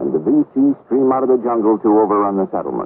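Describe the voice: A man speaks at a fairly quick pace with a fairly low pitch and a slightly husky edge.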